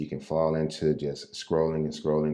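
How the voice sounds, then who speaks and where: A man speaks with an American accent. His voice is very deep and low. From US Midwest, St. Louis. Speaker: realtor and real estate investor. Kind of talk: casual tutorial. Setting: standing at desk, impromptu recording.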